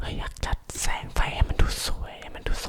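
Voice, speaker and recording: A man whispers in a relaxed tone. There is noticeable background noise. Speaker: ASMR content creator. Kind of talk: casual talk to camera about lighting equipment. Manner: relaxed, chatty, rambling.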